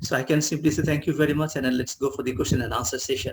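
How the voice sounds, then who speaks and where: A man speaks in a fairly high pitch with ordinary pitch variation. His voice is somewhat breathy. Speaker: professor. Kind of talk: webinar talk. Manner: halting.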